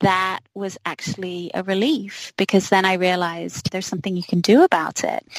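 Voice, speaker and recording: A woman's unremarkable speaking voice at medium pitch, fairly quick in pace, fairly even in intonation, with a dry, close sound and no echo. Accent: American. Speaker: musician. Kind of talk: interview about sobriety.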